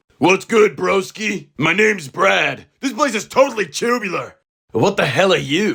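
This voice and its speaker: A man's raspy, put-on character voice, high-pitched, at a moderate pace. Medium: actual play. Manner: laid-back, cocky surfer-bro drawl.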